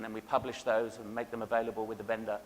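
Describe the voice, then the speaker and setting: With an English accent, a man is talking. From England. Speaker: cybersecurity vendor keynote speaker. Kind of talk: conference keynote presentation. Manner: hesitant fillers (um, uh).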